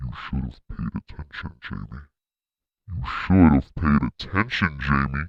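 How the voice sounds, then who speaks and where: A man performs a put-on character voice. It sits at a very deep, low pitch. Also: moderate pace. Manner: yelling, sinister.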